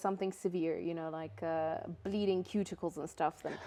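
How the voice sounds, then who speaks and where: In a Russian accent, a woman speaks at a fairly quick pace with a dark, mellow tone. The background is quiet. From Cyprus. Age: 30s. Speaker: beauty business founder. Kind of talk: interview. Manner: halting.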